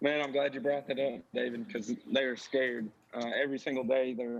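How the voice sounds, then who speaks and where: Speaking at a fairly quick pace, a man with a Texan accent keeps a medium pitch and fairly even intonation. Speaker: RV dealership manager. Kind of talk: live-stream interview.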